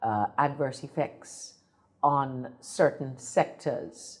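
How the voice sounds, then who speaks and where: A woman with an Antiguan accent, very deep and low in pitch, at a very slow pace. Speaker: politician. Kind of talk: political interview. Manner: formal.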